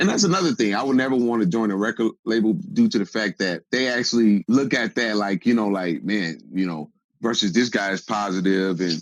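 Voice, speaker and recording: Fairly quick, lively speech from a man with a fairly low pitch and an unremarkable speaking voice. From Wisconsin, Racine area. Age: 30s. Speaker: rapper. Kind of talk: interview conversation.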